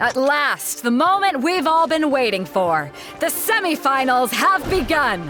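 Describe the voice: A woman does a put-on character voice, high-pitched with big pitch swings and a fairly bright tone, at a fairly slow pace over faint music in the background.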